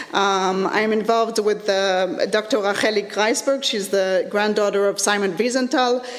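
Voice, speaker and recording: Moderate pace and ordinary pitch variation, with noticeable background noise and audible room echo. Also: woman. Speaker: lecturer in educational technology. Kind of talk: conference presentation. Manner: halting, many fillers.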